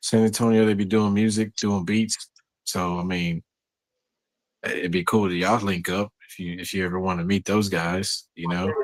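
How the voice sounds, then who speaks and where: A man speaks in a very deep, low voice with a Southern US accent and flat, monotone intonation. The sound is dry and close with no echo. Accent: Southern drawl. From Texas. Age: 30s. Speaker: stoner chat panelist, graphic artist. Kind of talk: casual chat.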